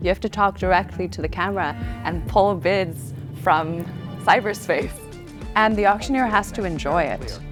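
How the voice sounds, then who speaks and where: A woman's voice with music in the background. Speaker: auctioneer. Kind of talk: interview answer about her career, casual and reflective.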